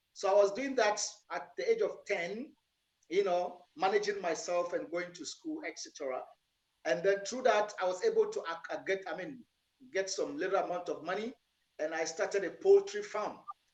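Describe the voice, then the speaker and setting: A man speaks in a Ghanaian accent. His pitch is high, with ordinary variation. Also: moderate pace. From northern Ghana (Tamale, Yendi) and Accra. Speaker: entrepreneur, business owner. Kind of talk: interview. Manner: soft-spoken. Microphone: too quiet.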